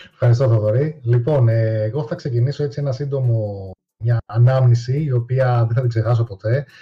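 Over background music, a man speaks at a medium pitch and moderate pace with fairly even intonation. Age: 30s. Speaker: YouTuber and retro gaming columnist. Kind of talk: casual chat.

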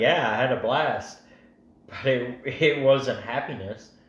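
Amid noticeable background noise and audible room echo, a man speaks at a medium pitch with monotone, flat intonation. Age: 20s. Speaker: factory worker. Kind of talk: casual chat.

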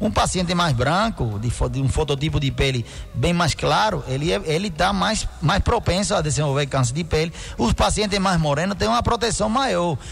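Over noticeable background noise, a man talks at a fairly high pitch and a moderate pace, with very wide pitch swings and very even loudness. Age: 50s. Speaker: doctor (dermatologist). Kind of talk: radio interview. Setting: radio studio with live video stream.

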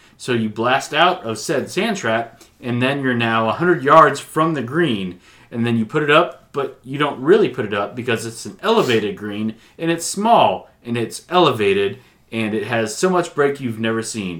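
This is a man with an ordinary speaking voice, medium in pitch and lively in intonation. He speaks at a moderate pace on a very clean recording with a silent background. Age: 40s. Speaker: podcast co-host. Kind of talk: casual chat.

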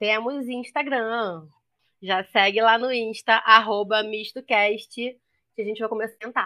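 A woman speaks with a strong Rio de Janeiro accent in a fairly high, bright, sharp voice. Her pace is fairly slow and her intonation fairly even, with a quiet background. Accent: strong carioca hissing s. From Rio de Janeiro, Brazil. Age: 30s. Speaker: podcast co-host, teacher. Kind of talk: casual podcast introduction.

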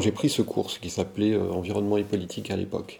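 A man's fairly low voice at a fairly quick pace. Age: 50s. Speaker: political science lecturer. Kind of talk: interview conversation. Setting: at his home. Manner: hesitant, with many fillers.

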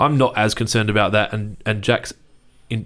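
On a very clean recording with a silent background, a man with an Australian accent speaks in a fairly low pitch with monotone, flat intonation. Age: 30s. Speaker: business owner. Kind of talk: interview. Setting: studio.

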